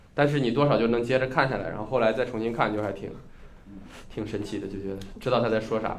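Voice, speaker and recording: A man talks at a very fast pace and a medium pitch, with fairly even intonation. Long, frequent pauses break up his speech, and audible room echo surrounds it. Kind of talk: casual chat.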